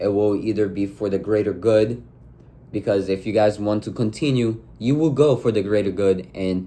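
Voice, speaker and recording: Speaking with a non-native accent, a man has a dark, mellow tone and ordinary pitch variation. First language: not English. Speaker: relationship advice vlogger. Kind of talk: casual monologue. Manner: halting, with filler words.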